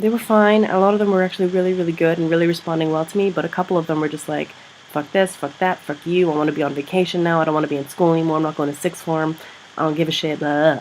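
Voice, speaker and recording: A husky, animated woman's voice at a fairly low pitch and very fast pace, with noticeable background noise. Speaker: secondary school teacher and vlogger. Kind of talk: casual vlog. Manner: rambling, animated.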